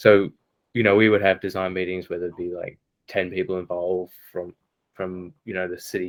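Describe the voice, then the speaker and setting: With an Australian accent, a man talks at a fairly quick pace and a very deep, low pitch. His intonation is monotone and flat, but his loudness swings a lot. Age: young. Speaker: architect. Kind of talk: podcast interview. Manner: hesitant, many fillers.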